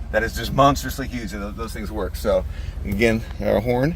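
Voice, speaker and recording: A man talking at a fairly quick pace, with audible room echo and noticeable background noise. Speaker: car seller. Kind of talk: casual walkaround video.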